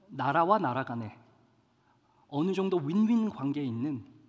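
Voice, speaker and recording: Very wide pitch swings at a fairly slow pace. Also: man. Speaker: pastor. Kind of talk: sermon.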